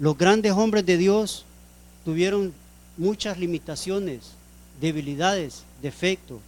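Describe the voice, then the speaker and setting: The speech moves at a very slow pace with ordinary pitch variation and long, frequent pauses. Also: man, high pitch for a man. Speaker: preacher. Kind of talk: sermon.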